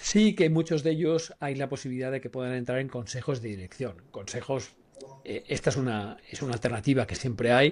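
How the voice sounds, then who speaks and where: A man with a plain, everyday voice talks at a fairly quick pace and a medium pitch, with ordinary pitch variation. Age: 60s. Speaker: personal branding consultant. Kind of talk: podcast discussion.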